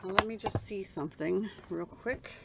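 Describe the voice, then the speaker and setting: Soft-spoken and medium-pitched, a woman talks against noticeable background noise. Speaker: card-making crafter. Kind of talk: crafting tutorial. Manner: casual.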